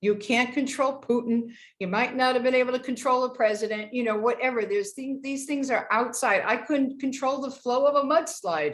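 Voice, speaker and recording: A woman's high-pitched voice at a fairly quick pace, with ordinary pitch variation and hardly any pauses. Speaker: teacher leading a class on health and peace. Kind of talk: online lecture with slides.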